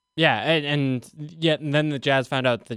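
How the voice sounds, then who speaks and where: In a very clean recording with a silent background and a dry, close sound with no echo, a man speaks at a very fast pace. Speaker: sports radio host and beat writer. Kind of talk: casual sports talk radio. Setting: radio studio.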